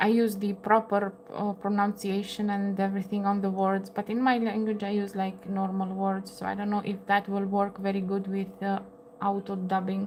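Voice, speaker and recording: A woman speaks in a Romanian accent with a monotone, flat intonation at a moderate pace. Noticeable background noise runs under her voice. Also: medium pitch for a woman. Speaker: crochet livestreamer. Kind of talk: casual livestream chat. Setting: home livestream at table. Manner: halting, many fillers.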